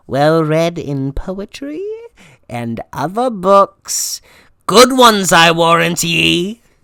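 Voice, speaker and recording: Using a put-on character voice, a man speaks at a very slow pace with a high pitch and lively intonation. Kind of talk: student school play. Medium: stage play.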